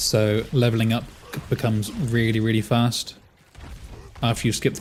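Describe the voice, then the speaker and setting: A man with a normal speaking voice talks at a medium pitch, his intonation fairly even. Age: 30s. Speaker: video game streamer. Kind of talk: live game stream commentary. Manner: casual, conversational with fillers.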